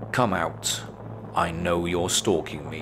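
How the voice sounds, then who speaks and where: A put-on character voice at a fairly slow pace, over loud background noise. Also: man, very deep, low pitch for a man. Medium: read story. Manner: curt, unimpressed.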